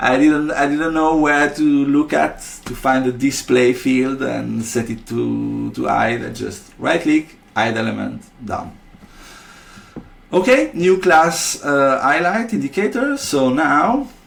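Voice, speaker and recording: A man's very slow speech over noticeable background noise. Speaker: software developer presenting product features. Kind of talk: screen-recorded software tutorial. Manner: halting, many fillers and repeated words.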